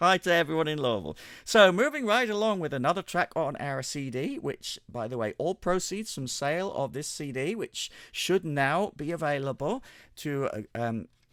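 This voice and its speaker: A man with an English accent, fairly high pitch, lively intonation and a moderate pace, on a very clean recording with a silent background. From England. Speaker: radio show host. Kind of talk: radio presenting. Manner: casual, chatty.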